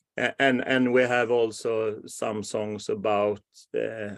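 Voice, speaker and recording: Against a quiet background, a man at a medium pitch talks at a fairly slow pace. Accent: Swedish. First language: Swedish. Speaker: podcast host. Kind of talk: interview. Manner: halting.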